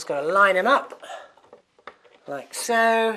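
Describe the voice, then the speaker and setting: A man's high, raised and projected voice with an upbeat tone and lively intonation at a very slow pace. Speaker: TV presenter. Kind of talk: DIY how-to presentation to camera. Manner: chatty, upbeat.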